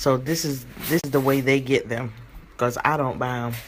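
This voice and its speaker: Noticeable background noise sits behind this woman's speech. Her very deep, low voice stays fairly even in intonation. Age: 40s. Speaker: vlogger and mother. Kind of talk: casual vlog. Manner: conversational, chatty.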